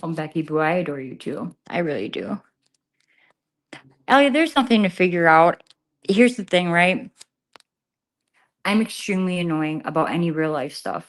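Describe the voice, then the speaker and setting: A woman with a fairly low pitch and lively intonation at a moderate pace, with long, frequent pauses, against a quiet background. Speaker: live streamer. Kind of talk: casual chat. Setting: livestream from an empty garage. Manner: trying to keep voice down.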